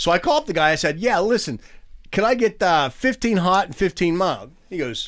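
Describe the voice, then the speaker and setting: In an animated tone, a man with a high pitch and a Pittsburgh accent talks at a moderate pace on a very clean recording with a silent background. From Pittsburgh, US. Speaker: touring and stage professional. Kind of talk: casual chat. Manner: animated, repeats words.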